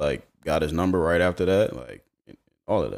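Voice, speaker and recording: A man's very deep, low voice at a moderate pace, with fairly even intonation, on a very clean recording with a silent background. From Charlotte, North Carolina. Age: 30s. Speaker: former basketball player. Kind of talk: casual chat.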